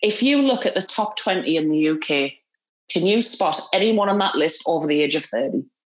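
At a moderate pace, a woman with a Geordie accent speaks at a medium pitch with lively intonation and very even loudness. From northeast England, Newcastle. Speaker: movie podcast panelist. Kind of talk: casual chat.

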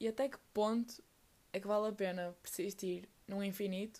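With a European Portuguese accent, a woman speaks at a medium pitch with fairly even intonation. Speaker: podcaster. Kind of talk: personal monologue.

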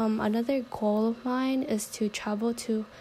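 A woman speaks in a monotone, flat intonation at a fairly high pitch. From San Diego, California. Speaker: university student. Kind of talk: class introduction video.

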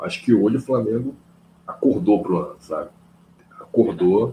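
A man speaks with very wide pitch swings. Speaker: football podcast host. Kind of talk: casual chat.

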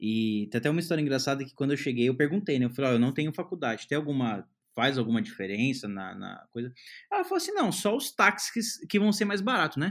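A man with a Brazilian accent talks at a very fast pace and a fairly high pitch, his voice making very wide pitch swings. The recording is very clean, with a silent background. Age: 20s. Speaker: software developer. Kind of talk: casual chat.

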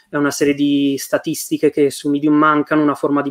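Recorded dry and close with no echo, a man speaks at a fairly quick pace and a fairly high pitch. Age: 20s. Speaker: software engineer. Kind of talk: casual interview chat.

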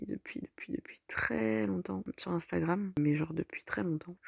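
Dark and mellow in tone, a woman's voice swings very widely in pitch at a fairly slow pace, heard with a dry, close sound with no echo in a very clean recording with a silent background. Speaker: solo podcaster. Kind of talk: casual monologue. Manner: halting.

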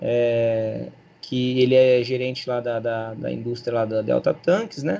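This man talks at a fairly slow pace in a medium pitch, his tone dark and mellow and his intonation fairly even. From Brazil, São Paulo state (Barrinha, near Ribeirão Preto). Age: 30s. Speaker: PE teacher and local political candidate. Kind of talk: casual interview.

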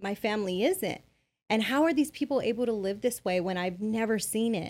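A woman with a normal speaking voice and an American accent talks at a moderate pace and medium pitch in a very clean recording with a silent background. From Bell, California (Los Angeles area). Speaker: business consultant. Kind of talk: interview.

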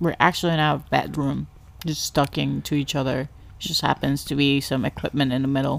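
A woman speaks at a fairly quick pace with a very deep, low pitch. Her delivery is monotone and flat, with vocal fry. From Ecuador. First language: Spanish. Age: 30s. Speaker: podcast host, stay-at-home mother. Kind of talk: casual chat. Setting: home bedroom.

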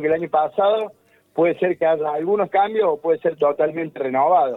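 A man at a moderate pace, with a high pitch and ordinary pitch variation. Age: 40s. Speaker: MMA fighter and fitness coach. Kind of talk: radio phone interview.

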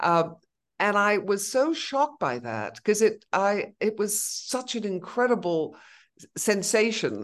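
The speaker talks at a very slow pace with vocal fry against a quiet background. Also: woman, medium pitch for a woman, lively intonation. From Venezuela, then Canada, Netherlands, Australia. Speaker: brand consultant and artist. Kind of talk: interview conversation.

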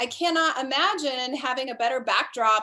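A woman's raised, projected voice with an American accent, high pitch, bright, sharp tone and lively intonation at a moderate pace. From US, Colorado. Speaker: professional dancer and instructor. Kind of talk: casual interview.

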